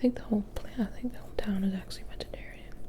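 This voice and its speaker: Someone whispers while noticeable background noise carries on around them. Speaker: ASMR creator. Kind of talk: ASMR book reading. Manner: whispered, soft-spoken.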